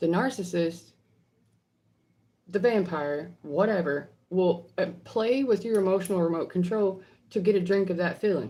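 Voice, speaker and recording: With a Southern US accent, a woman speaks at a moderate pace and medium pitch, using ordinary pitch variation. Her tone is dark and mellow, broken by long, frequent pauses. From US South. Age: 30s. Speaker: psychic medium. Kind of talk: livestream Q&A. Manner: animated.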